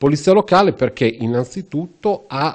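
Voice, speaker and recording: A dark, mellow tone moves through very wide pitch swings at a fairly slow pace. The background is quiet. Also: man. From Italy, Rimini (Emilia-Romagna). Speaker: local police commander. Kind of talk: TV interview. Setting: police headquarters office. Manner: formal. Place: office. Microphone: handheld.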